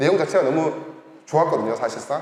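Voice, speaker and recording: The voice is loud. Audible room echo and noticeable background noise come through. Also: man. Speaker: researcher presenting at a forum. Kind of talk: conference presentation. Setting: forum stage with audience. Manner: animated.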